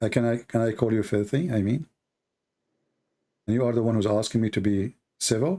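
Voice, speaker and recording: A man with a dark, mellow tone and a non-native accent, at a fairly quick pace with long, frequent pauses and ordinary pitch variation. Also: medium pitch for a man. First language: not English. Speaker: debate host. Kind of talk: heated debate. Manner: confrontational, pressing; halting, repetitive.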